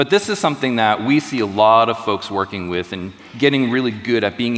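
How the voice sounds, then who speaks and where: Over noticeable background noise, a man with an American accent talks at a fairly quick pace. His pitch is medium with ordinary variation. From US. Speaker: tech presenter. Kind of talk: live product demo.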